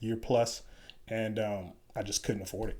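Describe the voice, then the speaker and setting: At a moderate pace, a man with an American accent speaks in a medium pitch with a plain, everyday voice. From Chicago, South Side. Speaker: Special Forces soldier. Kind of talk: interview.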